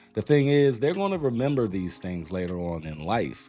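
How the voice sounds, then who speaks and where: With music in the background, a man with an American accent speaks in an animated tone. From US, Washington D.C. (Northeast). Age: 40s. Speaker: parenting podcast host. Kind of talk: casual monologue.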